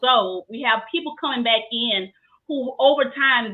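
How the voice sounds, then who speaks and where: In a Louisiana accent, a woman speaks in a high pitch with an animated tone. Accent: US South, Louisiana. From Southeast Louisiana. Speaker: trichologist. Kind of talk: interview.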